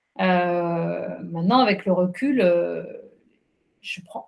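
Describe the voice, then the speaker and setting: A woman's voice comes across as somewhat breathy. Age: 50s. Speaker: journalist and trail runner. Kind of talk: interview. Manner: hesitant, many fillers.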